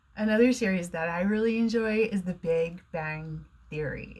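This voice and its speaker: A woman with an American accent speaks somewhat breathily at a fairly slow pace. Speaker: online English teacher. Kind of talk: educational talk to camera.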